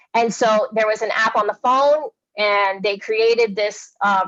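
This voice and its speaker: A woman's fairly high voice with fairly even intonation. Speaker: education presenter. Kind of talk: webinar presentation. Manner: halting.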